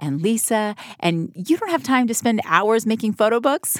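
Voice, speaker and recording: In a dry, close recording with no echo, a woman speaks in a normal speaking voice at a moderate pace with a fairly high pitch. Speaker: podcast host. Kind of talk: casual interview chat with ad read.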